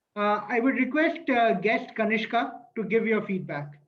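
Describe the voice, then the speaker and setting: A man speaks at a high pitch with lively intonation and a moderate pace. There is audible room echo. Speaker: meeting chair at a public speaking club. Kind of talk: online club meeting, giving feedback turns.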